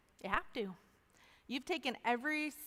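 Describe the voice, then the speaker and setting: A loud woman speaks at a fairly quick pace with a high pitch. Her tone is bright and sharp, with very wide pitch swings. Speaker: chapel speaker. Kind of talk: testimony. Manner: animated.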